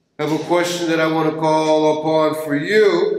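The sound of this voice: Strong room echo surrounds a man's voice. He speaks at a fairly high pitch and a moderate pace.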